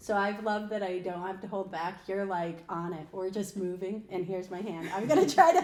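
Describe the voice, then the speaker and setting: An American woman with an American accent and a medium pitch speaks at a moderate pace with hardly any pauses and big swings in loudness, over noticeable background noise and audible room echo. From upstate New York, Albany area. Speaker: podcast co-host and recruiter. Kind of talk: casual podcast conversation.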